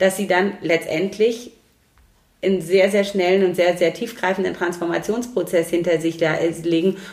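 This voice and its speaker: This is a woman at a medium pitch. She has an ordinary speaking voice. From Romania (Transylvania), came to Germany around age 9. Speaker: lawyer and civil servant. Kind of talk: casual interview.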